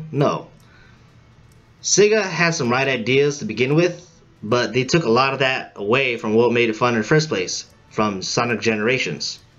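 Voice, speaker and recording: Music plays behind a man with a medium-pitched voice. He talks at a moderate pace with lively intonation. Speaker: gaming video uploader. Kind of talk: video game commentary read from script. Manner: hesitant, unpolished delivery.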